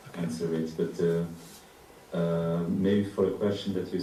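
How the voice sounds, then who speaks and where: A man with a non-native accent speaks at a very deep, low pitch, his intonation monotone and flat. Noticeable background noise and audible room echo fill the recording. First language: not English. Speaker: artist. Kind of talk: panel discussion. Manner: halting.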